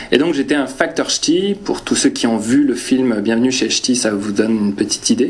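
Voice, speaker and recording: A man with a slight northern French accent speaks at a moderate pace with ordinary pitch variation. Audible room echo and noticeable background noise surround his voice. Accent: slight northern French (ch'ti). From northern France. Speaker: preacher. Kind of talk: personal anecdote; sermon. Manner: hesitant, many fillers.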